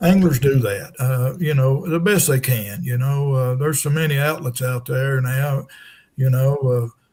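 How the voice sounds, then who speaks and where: This man has a medium pitch and a somewhat breathy voice. He speaks at a moderate pace with ordinary pitch variation. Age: 70s. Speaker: retired tournament director and angler. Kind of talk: podcast interview.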